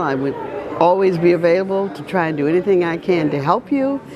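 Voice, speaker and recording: Amid crowd noise and audible room echo, a woman talks at a moderate pace and fairly low pitch with lively intonation. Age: 80s+. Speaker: community supporter. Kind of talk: recorded congratulatory message.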